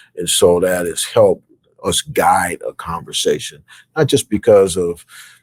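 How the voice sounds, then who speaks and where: Fairly slow speech from a man, dry and close, with no echo. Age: 60s. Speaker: university athletic director. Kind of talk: interview. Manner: hesitant, many fillers.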